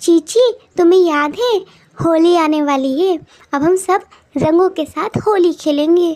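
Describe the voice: A woman's cartoonish character voice at an extremely high pitch and a fairly slow pace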